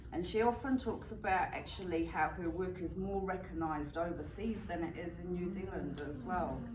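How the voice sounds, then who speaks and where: A woman speaks at a moderate pace over noticeable background noise, with audible room echo. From England, Bristol. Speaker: student presenter. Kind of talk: reading aloud; class presentation. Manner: halting.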